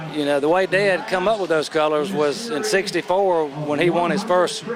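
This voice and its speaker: A man with a Southern US accent talks at a moderate pace with a high pitch and ordinary pitch variation. Audible room echo and noticeable background noise surround him. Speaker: drag racer. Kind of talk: interview. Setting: outdoors.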